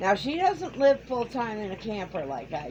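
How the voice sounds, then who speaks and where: A woman's pitch swings very widely as she speaks. Noticeable background noise runs beneath her. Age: 60s. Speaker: crochet YouTuber. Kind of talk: Q&A video, casual talk to camera. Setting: home, in a camper.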